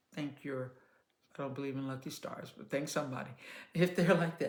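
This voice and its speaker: A woman's voice with audible room echo. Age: 60s. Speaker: children's entertainer and parenting talk host. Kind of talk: casual advice monologue. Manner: calm conversational tone.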